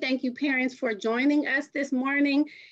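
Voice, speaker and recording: A high-pitched woman speaks in an energetic tone, the sound dry and close with no echo. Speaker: magnet school coordinator. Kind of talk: informational presentation. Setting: video call. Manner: fast.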